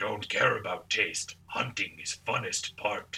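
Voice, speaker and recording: A man performs a raspy, put-on character voice. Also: fairly slow pace. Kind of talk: broken, primitive grammar.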